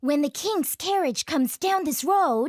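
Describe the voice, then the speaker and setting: This is a cartoonish character voice pitched high. It moves at a moderate pace. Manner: confident, sly, chuckling.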